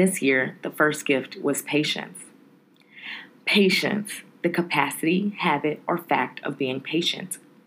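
Her tone animated, a woman speaks fairly slowly at a fairly low pitch with ordinary pitch variation. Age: 30s. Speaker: podcast host. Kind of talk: monologue.

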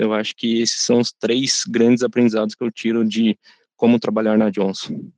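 Dry and close with no echo, a man of medium pitch talks at a fairly quick pace in a monotone, flat intonation. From Brazil, São José dos Campos (São Paulo state). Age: 30s. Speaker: intern in career transition. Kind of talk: corporate podcast interview.

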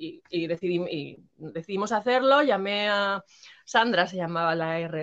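Intonation is lively as a woman talks. Her pace is fairly slow. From Madrid, Spain. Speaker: former rapper. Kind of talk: interview. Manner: halting.

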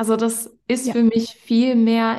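A woman speaks very slowly at a fairly high pitch. Her intonation is flat and monotone. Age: 20s. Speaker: podcast host and health coach. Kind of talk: casual chat.

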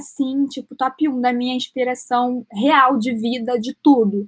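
Speaking in a Carioca accent, a woman with a high-pitched voice talks fairly slowly and with fairly even intonation, recorded very cleanly, dry and close with no echo against a silent background. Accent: carioca Brazilian Portuguese. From Rio de Janeiro, Brazil. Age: 20s. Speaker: actress and entrepreneur. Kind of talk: casual interview.

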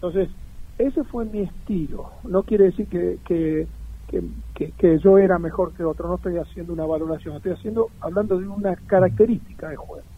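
Noticeable background noise runs under the speech. The speaking pace is fairly quick. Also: man. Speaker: former professional footballer. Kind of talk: interview.

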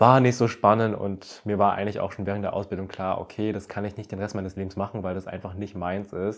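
Very fast and with hardly any pauses, a man speaks in a monotone, flat intonation at a fairly low pitch. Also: quiet background. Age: 20s. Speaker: influencer and podcast host. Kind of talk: casual monologue.

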